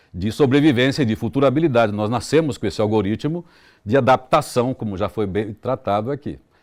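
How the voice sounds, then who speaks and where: Speaking at a fairly quick pace in a plain, everyday voice, a man with a medium pitch and ordinary pitch variation is heard on a very clean recording with a silent background. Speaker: radio announcer. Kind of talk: interview answer.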